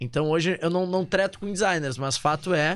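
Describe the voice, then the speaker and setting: A normal speaking voice at a moderate pace, ordinary pitch variation and a very clean recording over a silent background. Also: man. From southern Brazil, Porto Alegre. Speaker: digital marketing professional. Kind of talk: casual chat.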